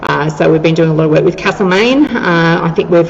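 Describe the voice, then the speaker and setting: Talking at a very fast pace in an Australian accent, this voice comes with noticeable background noise. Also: woman. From Australia, Victoria (Ocean Grove near Geelong). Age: 50s. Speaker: museum manager and tour guide. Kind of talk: interview. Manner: talkative, enthusiastic.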